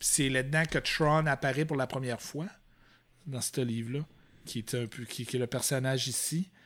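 A man speaks at a moderate pace in a medium pitch, his intonation fairly even and his speech broken by long, frequent pauses. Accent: Quebec. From Quebec, Fermont (Côte-Nord). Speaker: Star Wars collector and exhibition worker. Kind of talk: casual chat.

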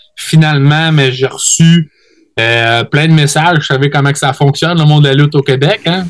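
A man talks in a normal speaking voice with a fairly high pitch. His intonation stays fairly even at a moderate pace. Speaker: wrestler. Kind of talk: casual interview chat.

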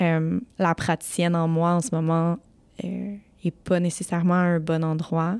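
Speaking at a fairly slow pace, a woman with a fairly low pitch keeps a monotone, flat intonation. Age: 30s. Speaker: family lawyer. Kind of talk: interview.

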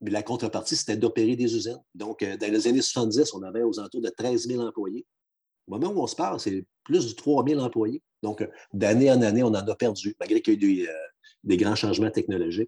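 At a fairly quick pace, a man speaks at medium pitch with ordinary pitch variation and a dark, mellow tone, recorded dry and close with no echo against a quiet background. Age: 50s. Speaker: union regional advisor. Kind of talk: podcast interview.

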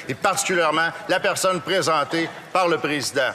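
A man with a Quebec French accent talks at a very fast pace. His pitch is high and his intonation fairly even. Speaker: member of parliament. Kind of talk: parliamentary debate. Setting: legislative chamber.

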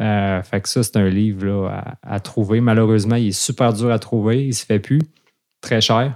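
A man in a Quebec accent speaks at a moderate pace with a fairly low pitch and fairly even intonation. The recording is very clean, with a silent background. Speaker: fly fishing instructor and podcast co-host. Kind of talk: casual chat.

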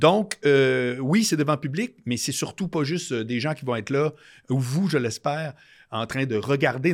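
A man with an ordinary speaking voice, fairly high-pitched, lively in intonation, at a moderate pace, on a very clean recording with a silent background. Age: 50s. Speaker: podcast host. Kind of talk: announcement; casual chat.

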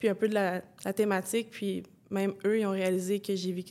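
Here a woman has an ordinary speaking voice. She talks at a medium pitch and a moderate pace. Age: 20s. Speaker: former athlete. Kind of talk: testimony.

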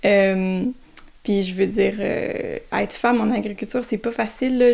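With fairly even intonation, the voice proceeds at a moderate pace. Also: woman. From Quebec, south of Montreal. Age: 20s. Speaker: market gardener, recent graduate. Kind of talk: interview. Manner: halting, many hesitations.

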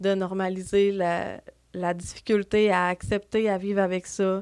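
Woman at medium pitch with monotone, flat intonation in a very clean recording over a silent background. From Quebec, Lac-Saint-Jean (Dolbeau). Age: 30s. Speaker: community mental health worker. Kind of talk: podcast interview.

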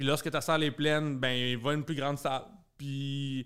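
The man talks fairly slowly in a fairly high-pitched voice. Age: 30s. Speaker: comedian. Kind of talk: casual chat.

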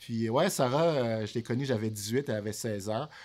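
He has a normal speaking voice, pitched at a medium level. His pace stays moderate and his pitch variation ordinary. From Montreal, Quebec (born in Haiti, arrived at 6). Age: 30s. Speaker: real estate broker. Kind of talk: casual chat. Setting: studio.

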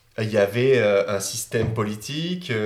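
There is audible room echo around a man's voice. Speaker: YouTuber. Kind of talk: casual chat.

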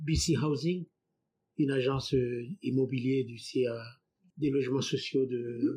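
Very slowly, a man talks in a somewhat breathy voice with a dark, mellow tone, a fairly high pitch and ordinary pitch variation. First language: not French (speaking French). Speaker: immigrant. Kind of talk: testimony.

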